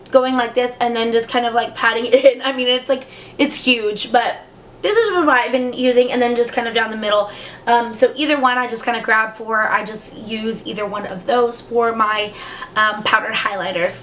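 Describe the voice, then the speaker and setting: At a moderate pace, the speaker keeps a fairly even intonation over noticeable background noise. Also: woman, fairly high pitch for a woman. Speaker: beauty youtuber. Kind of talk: casual product review chat. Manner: hesitant, many fillers.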